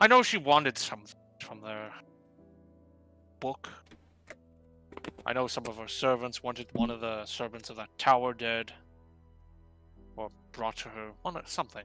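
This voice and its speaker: A man puts on a character voice at a medium pitch, going at a moderate pace with long, frequent pauses while faint music plays in the background. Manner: gruff, dismissive, careless.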